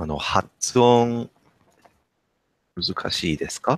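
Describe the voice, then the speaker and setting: Using lively intonation, a man talks at a very slow pace in a dry sound with no echo. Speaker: Japanese learner, channel host. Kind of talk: casual interview questions. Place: home room. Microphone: headset.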